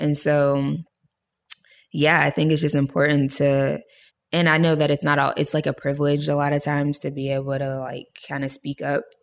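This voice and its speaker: With an American accent, a woman talks at a moderate pace in a very deep, low pitch. Her intonation is monotone and flat, and the recording is very clean with a silent background. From US, Pittsburgh, Pennsylvania. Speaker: photographer and filmmaker. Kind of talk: casual interview.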